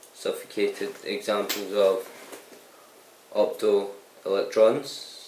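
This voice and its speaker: The pace is very slow as a man talks. Noticeable background noise sits behind him. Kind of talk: reading explanatory text aloud. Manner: stuttering, hesitant.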